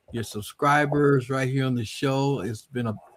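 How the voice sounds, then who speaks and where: Speaking at a moderate pace, a man with an American accent has a medium pitch and ordinary pitch variation. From North Carolina, rural Scotland County. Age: 60s. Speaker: DJ. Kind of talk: interview. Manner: halting.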